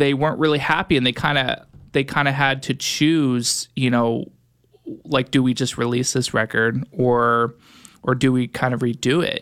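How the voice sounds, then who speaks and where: Long, frequent pauses at a fairly slow pace, with fairly even intonation and very even loudness. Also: man. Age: 20s. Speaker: music producer and studio owner. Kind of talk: casual interview. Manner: halting, many fillers.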